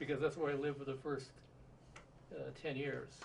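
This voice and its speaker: There is vocal fry in this man's voice, along with audible room echo. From Southern California. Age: 70s. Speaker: interviewee, retired physicist. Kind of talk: oral history interview. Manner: halting, many filler words.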